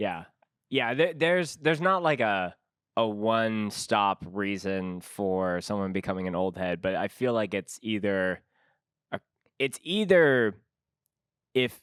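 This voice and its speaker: A man with an unremarkable speaking voice talks at a fairly slow pace, his fairly low pitch carrying lively intonation. The very clean recording has a silent background and a dry, close sound with no echo. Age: 30s. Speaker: podcast host. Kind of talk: casual chat.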